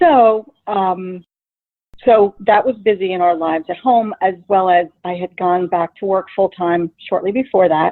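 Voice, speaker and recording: A woman of medium pitch with a slight New Jersey accent, at a moderate pace with ordinary pitch variation. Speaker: paralegal. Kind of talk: interview.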